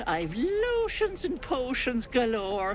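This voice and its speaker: In a put-on character voice with fairly high pitch, the speaker goes at a very slow pace over clear background noise. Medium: video game. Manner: fussy, folksy, doting.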